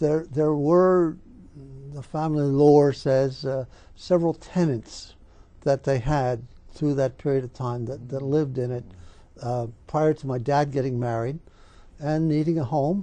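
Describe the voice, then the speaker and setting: The speaker has a Philadelphia accent and a fairly slow pace. Long, frequent pauses break up the speech. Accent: Philadelphia-area American. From Pennsylvania, Philadelphia area (Bala Cynwyd). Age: 70s. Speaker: oral history interviewee. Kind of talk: oral history interview. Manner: halting, many fillers.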